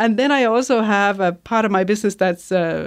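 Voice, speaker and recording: A woman speaks with a Danish accent over a quiet background. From Denmark. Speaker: podcast consultant. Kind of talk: interview.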